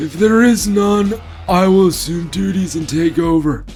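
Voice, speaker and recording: With clear music in the background, a man puts on a character voice, speaking at a high pitch and moderate pace. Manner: unintimidating.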